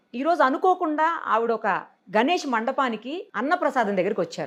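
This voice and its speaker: A woman talks with very wide pitch swings. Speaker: interview anchor. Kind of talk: intro to camera.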